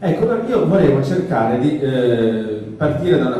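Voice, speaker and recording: Over noticeable background noise and audible room echo, a man talks in a Genoese accent. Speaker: journalist and author. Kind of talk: public talk. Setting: stage with audience. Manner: halting, with false starts.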